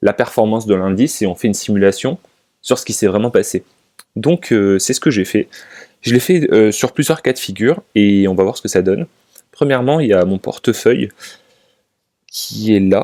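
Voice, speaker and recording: A man with a dark, mellow tone and fairly low pitch talks at a moderate pace with lively intonation. The sound is dry and close with no echo, and he leaves long, frequent pauses. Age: 20s. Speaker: finance YouTuber. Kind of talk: casual talk to camera. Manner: halting, many fillers.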